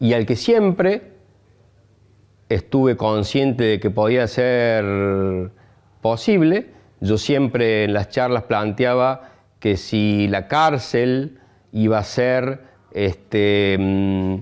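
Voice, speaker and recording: A man's medium-pitched voice at a very slow pace, with long, frequent pauses, very even loudness and ordinary pitch variation over a quiet background. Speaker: cannabis activist. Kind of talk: testimony. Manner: halting.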